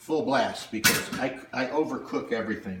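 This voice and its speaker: Through noticeable background noise and audible room echo, a man talks at a fairly slow pace with ordinary pitch variation. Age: 60s. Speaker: home cook vlogger. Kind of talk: casual cooking demonstration. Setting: home kitchen.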